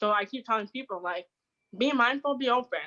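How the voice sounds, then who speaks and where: The speaker is a woman with a high-pitched voice. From Canada, Toronto. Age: 20s. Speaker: deaf content creator. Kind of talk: interview. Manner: fast; halting.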